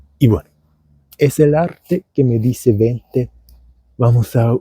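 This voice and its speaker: A man's dark, mellow, somewhat breathy voice with a dry, close sound and no echo. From Germany. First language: German (speaking Spanish). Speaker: vlogger and language teacher. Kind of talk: casual vlog monologue. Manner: halting.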